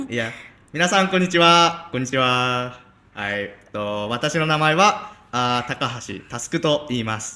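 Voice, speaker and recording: In a Japanese accent, a man speaks at a moderate pace with a medium pitch, lively intonation, and a bright, sharp tone. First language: Japanese (speaking Indonesian). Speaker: exchange student. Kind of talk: casual interview chat. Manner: halting.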